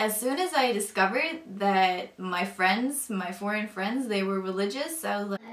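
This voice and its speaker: Noticeable background noise sits behind a woman speaking at a moderate pace. Her medium-pitched voice has lively intonation. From Northern Europe. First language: not English; language of a former Soviet country. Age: 20s. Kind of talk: personal testimony. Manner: casual, hesitant with many fillers.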